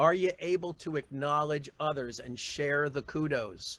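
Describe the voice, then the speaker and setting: A man speaks with a fairly high pitch. He has an ordinary speaking voice. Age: 60s. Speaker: real estate career coach. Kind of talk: keynote speech. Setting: auditorium with audience.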